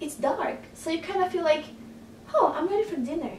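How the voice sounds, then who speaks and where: The voice belongs to a woman. Noticeable background noise is present. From Brazil. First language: Portuguese. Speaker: photographer and blogger. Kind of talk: casual talk to camera.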